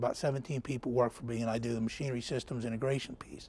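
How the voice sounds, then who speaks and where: Somewhat breathy and dark, mellow in tone, a man talks at a very fast pace. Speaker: navy engineering branch manager. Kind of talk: technical seminar presentation. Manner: halting, many fillers.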